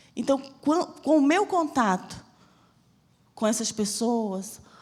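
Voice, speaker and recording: A woman's voice has a dark, mellow tone. Her intonation is lively. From Brazil, Bahia (Salvador). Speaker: missionary preacher. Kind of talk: sermon with personal testimony. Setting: church service.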